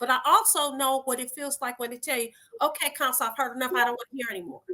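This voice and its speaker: In an American accent, a woman talks very fast in a raised, projected voice with a high pitch and ordinary pitch variation. Her tone is animated, bright and sharp, with big swings in loudness. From Detroit, US. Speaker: lawyer and judicial candidate. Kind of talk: interview. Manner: loud when excited.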